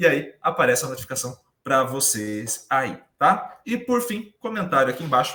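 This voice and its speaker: At a moderate pace, a man talks in a fairly high voice with a bright, sharp tone. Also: lively intonation. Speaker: podcast host. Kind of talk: casual chat. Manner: talkative.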